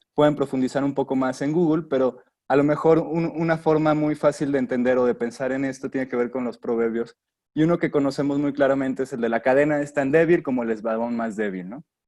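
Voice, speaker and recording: Against a quiet background, a man talks at a fairly quick pace with a fairly high pitch. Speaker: industrial designer giving a talk. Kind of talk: webinar lecture. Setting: online webinar. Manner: fast.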